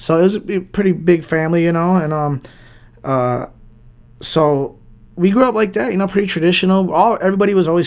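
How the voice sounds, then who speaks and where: A man with a Detroit accent talks at a very fast pace in a high pitch, his tone animated and his pitch variation ordinary. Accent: Detroit American English. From Southwest Detroit, Michigan. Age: 30s. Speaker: DJ and record label owner. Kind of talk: casual interview.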